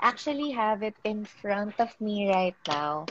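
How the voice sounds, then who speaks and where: A normal speaking voice at a fairly slow pace. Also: woman. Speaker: makeup artist and podcast host. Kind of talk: casual interview.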